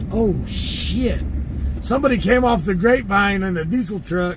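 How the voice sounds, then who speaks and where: A man with a Californian accent at a moderate pace, with audible room echo. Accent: California accent with smoker's rasp. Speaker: live streamer commenting on police scanner, former tow truck driver. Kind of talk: casual live-stream commentary.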